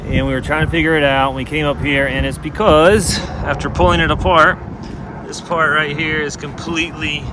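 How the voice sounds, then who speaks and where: A moderate pace with long, frequent pauses and ordinary pitch variation, amid audible room echo and noticeable background noise. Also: man. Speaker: family travel vlogger. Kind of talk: casual vlog narration. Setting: outdoors by RV, then inside a cave.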